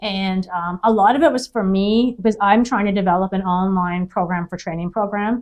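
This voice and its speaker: A woman with a medium pitch talks at a fairly quick pace. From Cape Breton, Nova Scotia, Canada. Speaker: hearing care business owner and speaker. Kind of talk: interview. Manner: fast; animated.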